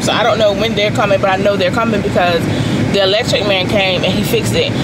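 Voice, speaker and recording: A woman talks over loud background noise. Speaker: vlogger. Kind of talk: casual vlog talk to camera. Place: car. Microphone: phone near.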